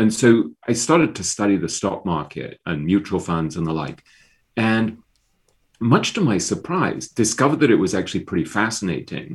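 A man with an English accent and a fairly low pitch speaks at a moderate pace with very wide pitch swings, against a quiet background. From England. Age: 50s. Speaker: author. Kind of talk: interview. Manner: halting.

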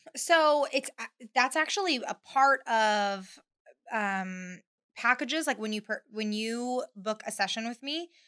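The voice has a bright, sharp tone and ordinary pitch variation at a very slow pace, in a very clean recording with a silent background and a dry, close sound with no echo. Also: woman. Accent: Californian. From California, Bakersfield. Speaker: photographer. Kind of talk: casual chat.

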